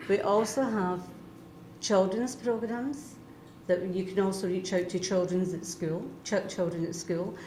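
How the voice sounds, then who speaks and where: A woman with a Scottish accent and a medium pitch speaks at a moderate pace, her somewhat breathy voice dark and mellow in tone, with audible room echo. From Scotland. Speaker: retired union member. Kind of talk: interview.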